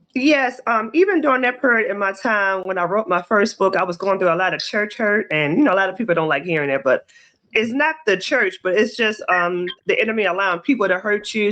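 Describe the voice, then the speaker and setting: A woman's fairly quick, medium-pitched delivery in a Baltimore accent, with lively intonation, very even loudness and hardly any pauses, against a quiet background. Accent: Baltimore American. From US, Baltimore. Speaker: author. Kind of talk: interview.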